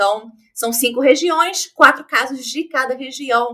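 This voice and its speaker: A woman speaks at a fairly slow pace in a raised, projected voice with a bright, sharp tone. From Rio de Janeiro, Brazil. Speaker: true crime podcaster. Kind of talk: casual chat.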